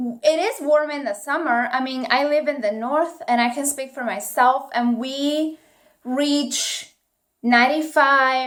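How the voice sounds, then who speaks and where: A woman with an Italian accent speaks at a fairly slow pace, her high pitch showing ordinary pitch variation. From northeast Italy. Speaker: YouTuber. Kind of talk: casual vlog talk.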